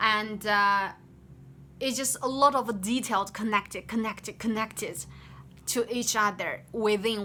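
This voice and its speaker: The speaker has a Chinese accent. Music plays in the background. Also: woman. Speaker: game developer. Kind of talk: work progress update. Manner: halting, many fillers and restarts.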